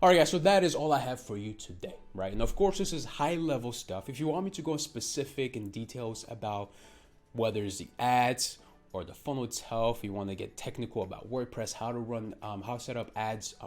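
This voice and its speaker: With music in the background, a man with a non-native accent talks at a fairly quick pace and medium pitch. His intonation is lively, and his loudness swings widely. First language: not English. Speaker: digital marketing coach, channel owner. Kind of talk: tutorial. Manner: casual, filler-heavy with frequent ums.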